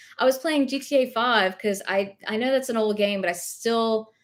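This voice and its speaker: A woman talks at a moderate pace. She has a slight Southern US accent. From US South, rural. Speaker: thrift reseller live-streaming. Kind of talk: casual live stream chat. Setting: live stream at home.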